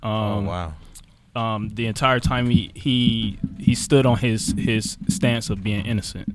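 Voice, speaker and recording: A man speaks at a medium pitch and a fairly slow pace. His pitch variation is ordinary. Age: 30s. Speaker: former boxer turned realtor. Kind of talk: interview. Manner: hesitant, many fillers.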